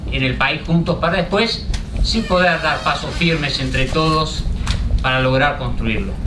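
Background noise is noticeable behind the speaker. A man talks at a moderate pace. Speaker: event moderator. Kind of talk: introductory remarks to an audience. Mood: relaxed, friendly, smiling. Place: hall. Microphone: podium.

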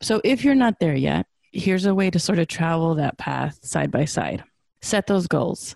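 A woman with a plain, everyday voice, fairly low in pitch, lively in intonation, at a moderate pace and very even loudness. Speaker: podcast host and wisdom teacher. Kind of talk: casual interview conversation.

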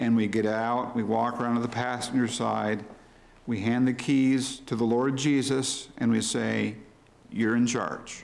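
A man's flat, monotone voice at a very slow pace. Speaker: preacher. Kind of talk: sermon. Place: church. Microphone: podium.

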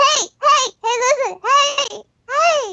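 A put-on character voice pitched extremely high. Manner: hyperactive, annoying.

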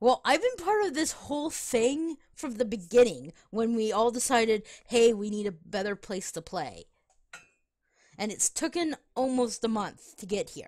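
A woman with a plain, everyday voice speaks fairly slowly at a fairly high pitch with lively intonation and big swings in loudness. The recording is very clean with a silent background. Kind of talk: casual chat while gaming with friends.

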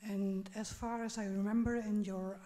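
Her tone is dark and mellow, and this woman sounds somewhat breathy. She speaks with monotone, flat intonation. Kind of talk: audience question. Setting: audience microphone. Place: hall.

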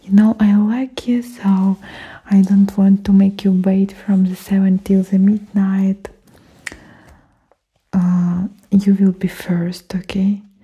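A soft-spoken woman at a very slow pace, her intonation monotone and flat, against a quiet background. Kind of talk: roleplay monologue to viewer. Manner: soft-spoken, intimate ASMR voice. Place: home room. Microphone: studio mic.

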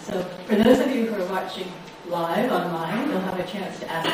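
A woman speaks at a medium pitch with ordinary pitch variation. Strong room echo and noticeable background noise surround her voice. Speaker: lecture series host. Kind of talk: formal introduction and Q&A moderation. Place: hall.

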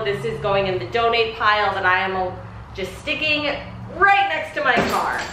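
With lively intonation, a woman speaks over light background noise in a room that echoes audibly. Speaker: home organizing vlogger. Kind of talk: casual vlog chat. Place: garage. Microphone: camera far.

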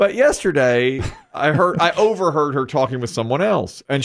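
Moderate pace from a man. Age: 50s. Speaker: morning show radio host. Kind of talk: casual chat. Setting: studio. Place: studio. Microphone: studio mic.

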